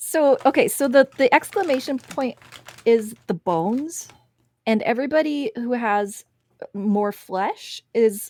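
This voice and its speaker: Speaking with a Wisconsin accent, a woman has a high pitch and lively intonation, going at a fairly slow pace with a dry, close sound and no echo. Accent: picking up a Wisconsin. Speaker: artist teaching drawing. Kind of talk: live-stream art tutorial. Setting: live stream.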